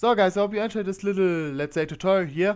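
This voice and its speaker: A man with a German accent on a very clean recording with a silent background. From Germany. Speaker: video game content creator. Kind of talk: tutorial. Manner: fast.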